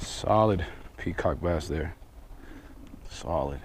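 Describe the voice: A man's extremely low, slightly mellow voice at a slow pace, with ordinary pitch variation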